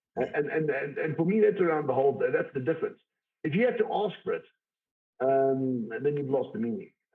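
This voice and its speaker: A man talks at a very fast pace. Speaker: IT executive. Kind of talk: interview. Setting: video call from home study. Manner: loud; forceful.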